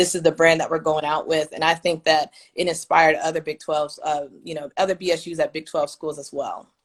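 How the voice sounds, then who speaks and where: An ordinary speaking voice: a woman with an American accent, fairly low in pitch, at a fairly quick pace. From Kansas City, Kansas. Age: 20s. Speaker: former student leader, alumna. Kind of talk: interview.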